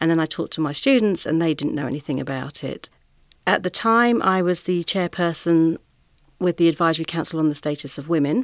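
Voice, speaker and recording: A woman with an ordinary speaking voice talks at a fairly quick pace in a fairly low pitch. The recording is very clean with a silent background and a dry, close sound with no echo. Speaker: education diversity consultant. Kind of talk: panel discussion. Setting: studio.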